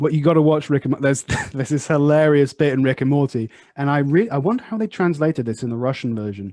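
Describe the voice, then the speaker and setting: A man with a slight Southwest English accent speaks at a very fast pace, his fairly high pitch carrying a dark, mellow tone. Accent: slight Southwest English, oi-like ou sound. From Southwest England. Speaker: podcast host and English teacher. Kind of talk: casual interview chat.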